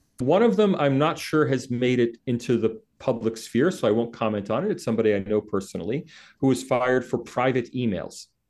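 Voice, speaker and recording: A man's plain, everyday voice with an American accent, medium pitch, ordinary pitch variation and a moderate pace, against a quiet background. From United States. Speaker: associate professor of sociology and author. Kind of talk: interview.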